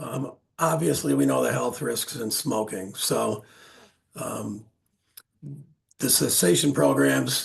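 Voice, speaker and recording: A man's voice with vocal fry, a fairly slow pace and very wide pitch swings. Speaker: small business association staff presenter. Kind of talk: webinar presentation.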